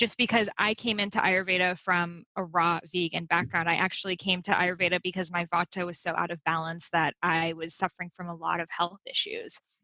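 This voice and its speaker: In an American accent, a woman with a fairly low pitch speaks at a fairly quick pace in a flat monotone with a bright, sharp tone, hardly any pauses, and a dry, close sound with no echo. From USA, Iranian immigrant family. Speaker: author and Ayurveda teacher. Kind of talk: interview.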